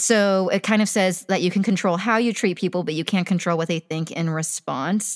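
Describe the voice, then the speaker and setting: A woman's fairly low voice at a very fast pace. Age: 20s. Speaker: podcast co-host. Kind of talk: casual chat. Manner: animated.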